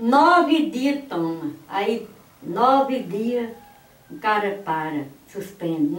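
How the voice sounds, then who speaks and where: This woman talks at a medium pitch. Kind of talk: interview answer.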